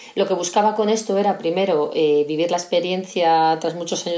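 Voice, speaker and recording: This woman has a normal speaking voice, fairly low in pitch, delivered with fairly even intonation at a moderate pace. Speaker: civil servant. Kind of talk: recorded monologue.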